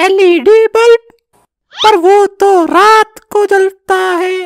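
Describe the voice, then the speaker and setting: A cartoonish character voice at an extremely high pitch and a fairly slow pace. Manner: scoffing, cheeky, eager.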